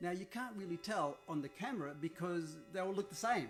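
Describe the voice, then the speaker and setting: Over background music, a man speaks at a very fast pace. His high voice has lively intonation. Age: 70s. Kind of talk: interview answer.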